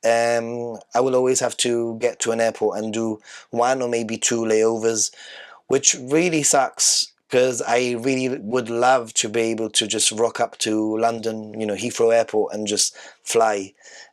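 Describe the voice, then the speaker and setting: Delivered at a fairly slow pace, a man's medium-pitched voice stays monotone, with flat intonation. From Gibraltar. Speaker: podcast co-host. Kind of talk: casual chat.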